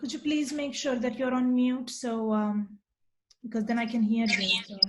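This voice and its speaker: With a Marathi accent, a woman talks at a moderate pace and a fairly high pitch, her intonation fairly even and her speech broken by long, frequent pauses. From India. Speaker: researcher and programming presenter. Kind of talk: online talk. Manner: hesitant, many fillers.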